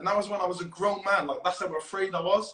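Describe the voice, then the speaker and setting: A man's high-pitched, raised and projected voice. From Wales. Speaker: futsal player. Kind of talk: podcast interview. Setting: Instagram live video call.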